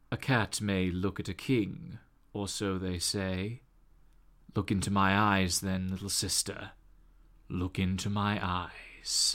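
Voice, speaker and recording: In a put-on character voice, a man speaks at a fairly slow pace with a fairly low pitch. He leaves long, frequent pauses. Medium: actual play. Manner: slow, grave, evocative.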